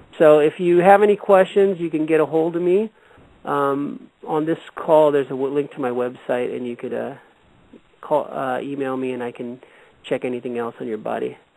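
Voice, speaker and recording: The voice belongs to a man with an American accent. His pitch is fairly high, with ordinary pitch variation. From California. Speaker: radio host and energy healer. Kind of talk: call-in healing show. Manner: fast.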